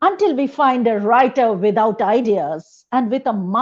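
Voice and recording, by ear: Someone is reading aloud in a natural voice, with ordinary pitch variation and a quiet background.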